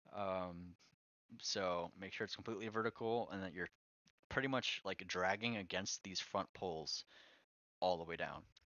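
A man's very deep, low-pitched voice. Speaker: car audio installer. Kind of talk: tutorial. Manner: casual, hesitant with fillers.

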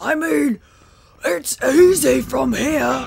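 The speaker uses a put-on character voice. The pitch is fairly high. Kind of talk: comic overacting. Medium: game stream. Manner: loud, exclamatory, overeager.

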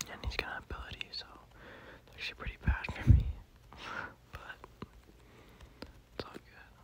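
Whispering at a moderate pace, the speaker leaves long, frequent pauses against noticeable background noise. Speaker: ASMR gaming creator. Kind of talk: whispered gameplay commentary. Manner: whispered; casual, laid-back.

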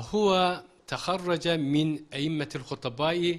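A man talks with a Turkish accent. His pace is very slow. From Turkey. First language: Turkish (speaking Arabic). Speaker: Arabic teacher. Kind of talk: interview. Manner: halting. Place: studio. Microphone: handheld.

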